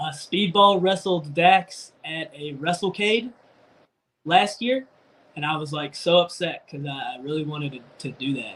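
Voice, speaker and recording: A man talks at a fairly slow pace in a high voice with ordinary pitch variation. His loudness swings widely. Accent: American. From North Carolina. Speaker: professional wrestler. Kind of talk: casual interview chat.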